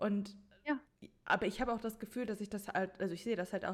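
Fairly even in intonation, a woman speaks at a medium pitch in an unremarkable speaking voice. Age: 20s. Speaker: podcast host and author. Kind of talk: casual chat.

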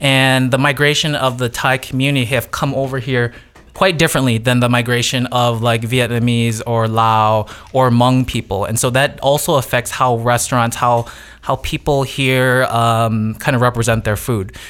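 With music in the background, a man speaks with an American accent at a medium pitch and moderate pace, his intonation fairly even and his loudness very even. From Wisconsin, US (Janesville), Lao family. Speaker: chef and cooking instructor. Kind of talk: podcast interview.

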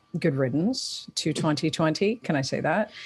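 A woman with a Toronto accent speaks at a fairly slow pace in a very deep, low pitch. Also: very clean recording, silent background. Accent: Canadian, Toronto. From Toronto, Canada. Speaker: podcast host. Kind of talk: casual interview chat.

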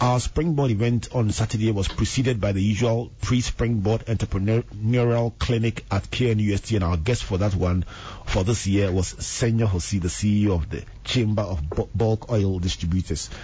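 A man's fairly low, somewhat breathy voice with very even loudness, ordinary pitch variation and a moderate pace. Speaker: radio host and reverend. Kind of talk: radio talk show. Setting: radio studio.

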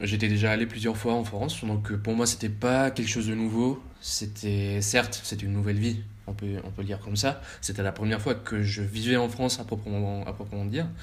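A man's fairly low voice at a fairly quick pace, fairly even in intonation, with audible room echo. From Colombia, Bogota. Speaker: exchange student. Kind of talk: casual interview.

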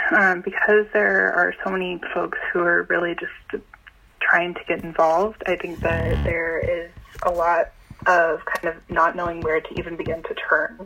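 Through noticeable background noise, a woman with an American accent speaks at a moderate pace. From Boston (Jamaica Plain). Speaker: caller, community organizer. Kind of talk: call-in conversation. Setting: phone call.

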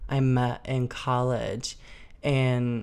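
American-accented female speech in a space with audible room echo. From US Midwest, Chicago suburbs. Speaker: actress and model. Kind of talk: casual chat. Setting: living room.

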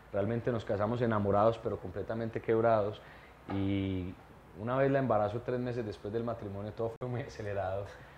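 Here is a man with a normal speaking voice. He speaks at a moderate pace and a medium pitch. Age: 30s. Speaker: entrepreneur and mentor. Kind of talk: interview.

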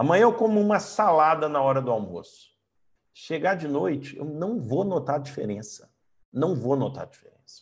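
At a moderate pace, a man with a fairly high voice swings very widely in pitch. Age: 40s. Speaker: coach and trainer. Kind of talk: online lecture.

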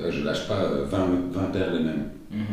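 A man talks over noticeable background noise. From Brussels, Belgium. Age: 30s. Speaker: TV producer and sneaker customizer. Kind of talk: interview. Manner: animated.

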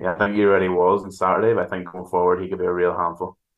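A man with a Northern Irish accent and a very deep, low pitch. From Northern Ireland, County Antrim. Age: 20s. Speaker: football commentator and writer. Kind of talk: casual chat.

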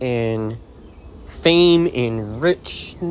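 Noticeable background noise sits behind a voice whose pitch varies in an ordinary way. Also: man. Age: 30s. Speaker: podcast host. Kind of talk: motivational monologue.

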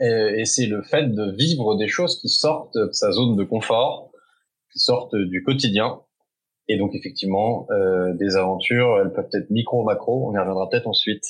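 A man's medium-pitched voice at a fairly slow pace. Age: 30s. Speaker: entrepreneur, founder of an outdoor adventure community. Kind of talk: interview. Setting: remote recording. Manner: hesitant, many fillers.

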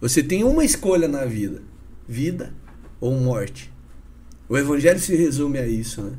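A dark, mellow, somewhat breathy voice carries lively intonation. Long, frequent pauses and audible room echo mark the clip. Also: man, fairly high pitch for a man, moderate pace. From Paraná, Brazil (Curitiba / northern Paraná). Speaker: businessman and evangelist. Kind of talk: casual interview chat with testimony.

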